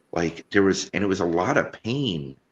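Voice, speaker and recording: A man speaks with a very deep, low pitch and vocal fry. His pace is moderate, with ordinary pitch variation. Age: 40s. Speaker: podcast host. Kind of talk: casual chat.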